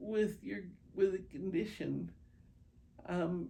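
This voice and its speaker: A woman speaks in a medium-pitched voice with a dark, mellow tone. Room echo is audible. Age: 70s. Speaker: patient with multiple sclerosis. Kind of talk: interview testimony. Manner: hesitant, many fillers.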